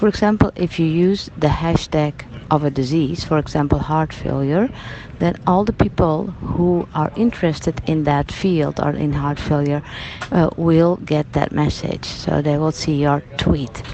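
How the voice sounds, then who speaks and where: Against noticeable background noise, a woman with a Dutch accent speaks fairly slowly in a very deep, low pitch with ordinary pitch variation. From Netherlands. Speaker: nursing journal editor. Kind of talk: video blog. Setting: at a medical conference. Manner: hesitant, many fillers.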